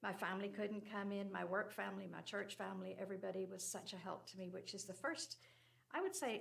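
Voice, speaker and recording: Using vocal fry, a woman with an American accent speaks at a moderate pace and a medium pitch. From Northern Ireland. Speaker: church member sharing cancer story. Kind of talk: personal testimony.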